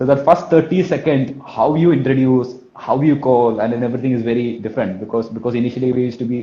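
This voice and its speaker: With a Kerala accent, a man talks very fast at a medium pitch. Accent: Malayali. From India, Kerala. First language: Malayalam. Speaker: sales trainer. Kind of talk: live talk. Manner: repetitive filler phrases; energetic.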